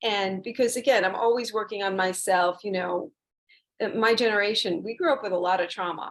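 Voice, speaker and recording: At a fairly quick pace, a woman speaks in a normal speaking voice, her pitch medium with ordinary pitch variation. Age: 60s. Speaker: massage therapist and yoga teacher. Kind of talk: interview.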